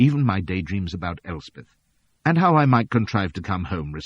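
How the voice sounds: Against a quiet background, the speaker has a natural reading voice.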